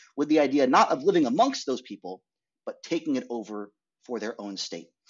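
Using very wide pitch swings, a man with an American accent talks at a fairly quick pace. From US Northeast (rural Maine). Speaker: documentary filmmaker. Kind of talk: interview. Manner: halting.

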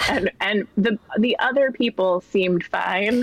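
Here a woman speaks at a medium pitch with lively intonation. Background noise is noticeable. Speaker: comedy writer. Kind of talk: casual chat.

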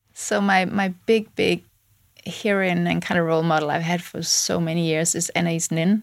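Speaking at a moderate pace, a woman uses an ordinary speaking voice, fairly low in pitch, with fairly even intonation. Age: 40s. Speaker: tech founder. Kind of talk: interview.

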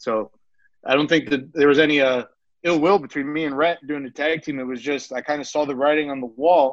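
A man with an American accent talks at a fairly quick pace. His pitch is fairly high, with fairly even intonation. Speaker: pro wrestler and wrestling coach. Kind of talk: interview. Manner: casual, hesitant with fillers.

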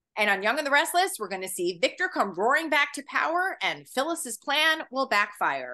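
A woman's raised, projected voice, high in pitch and bright and sharp in tone, enthusiastic, with very wide pitch swings, a moderate pace and hardly any pauses. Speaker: magazine editor and podcast host. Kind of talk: casual interview.

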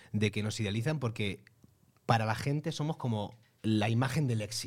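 A man at medium pitch with ordinary pitch variation, in a very clean recording with a silent background. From Almería, Spain. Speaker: podcast host and actor. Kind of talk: casual chat. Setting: studio with video.

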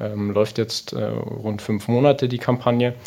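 A man speaks at a very slow pace. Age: 20s. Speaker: football club membership manager. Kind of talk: interview. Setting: outdoors by a pond. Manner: hesitant, many filler sounds.

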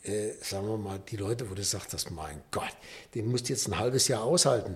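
Somewhat breathy, fairly low speech from a man at a moderate pace with ordinary pitch variation. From Rhineland, Düsseldorf. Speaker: nature conservation volunteer. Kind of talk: casual chat. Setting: studio. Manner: upbeat.

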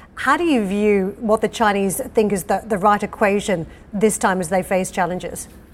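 A woman with a normal speaking voice talks at a fairly quick pace. Her pitch is medium and her intonation fairly even. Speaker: business news anchor. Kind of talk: news reading. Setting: studio.

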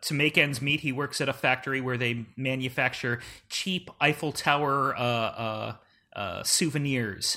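The speaker has a plain, everyday voice. Pitch varies in an ordinary way, and the pace is moderate. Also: man. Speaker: old-movie expert. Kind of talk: casual chat.

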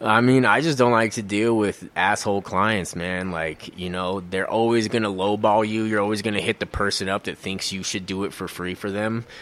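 A man with an American accent speaks in a normal speaking voice at a moderate pace. His pitch is fairly low and he hardly pauses. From Colorado (Aurora). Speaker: mixed media artist. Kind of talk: interview conversation.

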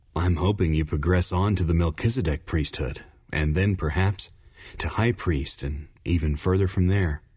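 In a very clean recording with a silent background, a man with a very deep, low pitch speaks at a moderate pace, somewhat breathy, with ordinary pitch variation. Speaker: audiobook narrator. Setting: studio. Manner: measured, formal, earnest narrator pacing.

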